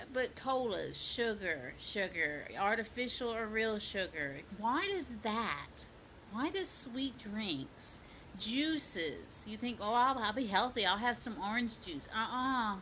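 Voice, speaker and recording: A woman in a Southern US accent talks very slowly at a fairly high pitch, her bright, sharp tone marked by vocal fry and very wide pitch swings. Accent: Southern twang. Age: 50s. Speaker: fitness coach. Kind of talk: casual vlog tips. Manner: animated.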